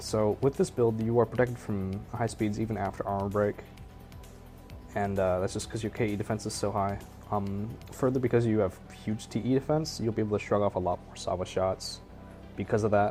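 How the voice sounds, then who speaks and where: A man with a fairly low pitch speaks at a fairly quick pace with fairly even intonation. Music plays in the background. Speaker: video game build guide host. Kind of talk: casual gameplay tutorial talk. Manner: hesitant, lots of filler words.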